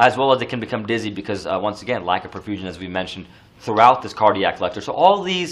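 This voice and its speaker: A man speaks with lively intonation. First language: not English. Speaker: nursing exam lecturer. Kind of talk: lecture. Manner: casual, many fillers.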